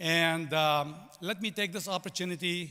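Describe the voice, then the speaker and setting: A man with a Lebanese accent speaks in a high pitch with a bright, sharp tone and ordinary pitch variation. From Lebanon. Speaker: commencement speaker, business executive. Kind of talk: commencement speech.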